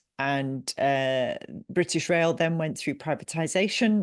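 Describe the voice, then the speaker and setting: A woman with an English accent talks at a moderate pace with lively intonation. The sound is dry and close with no echo, over a quiet background. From England. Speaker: business coach and company CEO. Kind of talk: podcast interview. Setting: remote call.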